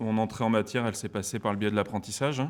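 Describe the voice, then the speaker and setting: The man's voice shows ordinary pitch variation. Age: 30s. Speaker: business school alumnus, former store manager. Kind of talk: interview. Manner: hesitant, many fillers.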